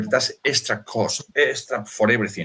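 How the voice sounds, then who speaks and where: A man is speaking. He has a non-native accent. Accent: foreign. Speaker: cigar maker. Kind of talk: casual chat. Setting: live stream. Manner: animated.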